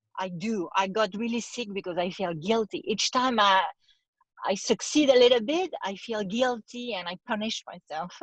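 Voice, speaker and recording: With a strong French accent, a woman speaks at a moderate pace in a fairly high, somewhat breathy voice with lively intonation, recorded dry and close with no echo. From France. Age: 40s. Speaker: actress. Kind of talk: casual chat.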